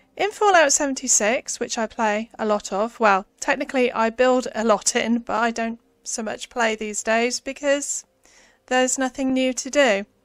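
Here a woman speaks in a British accent at a high pitch, with ordinary pitch variation. The sound is dry and close, without echo. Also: moderate pace. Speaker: gaming YouTuber. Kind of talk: tutorial. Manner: soft-spoken.

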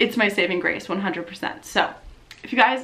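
A woman speaks in an animated tone with ordinary pitch variation. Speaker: YouTuber and Twitch streamer; YouTuber, Twitch streamer. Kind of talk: casual vlog update. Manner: loud. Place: home room.

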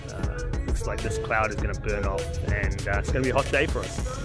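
A man at a fairly quick pace, with clear music in the background and a dry sound with no echo. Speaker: amateur cyclist vlogger. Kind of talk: casual vlog chat. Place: open country. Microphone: phone near.

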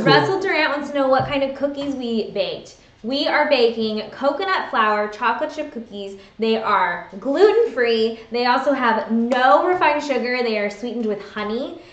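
A woman with a high pitch and lively intonation speaks at a moderate pace with hardly any pauses, with audible room echo around her. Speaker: video vlog host. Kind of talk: casual livestream chat. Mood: cheerful, friendly. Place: home room. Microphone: webcam.

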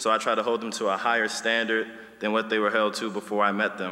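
The speaker is a man. He has an American accent. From Washington, D.C. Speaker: teacher and mentor; teacher or staff member giving a speech. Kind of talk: graduation speech. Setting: stage with audience. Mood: warm, encouraging. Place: hall. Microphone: podium.

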